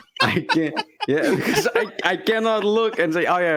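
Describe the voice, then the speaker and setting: Noticeable background noise comes through. A man speaks at a fairly slow pace. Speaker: podcast co-host. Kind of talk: casual chat.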